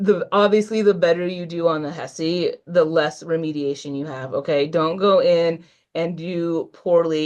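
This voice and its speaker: A woman speaks in a plain, everyday voice, her fairly low pitch held in a fairly even intonation. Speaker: nursing instructor. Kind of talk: online workshop lecture.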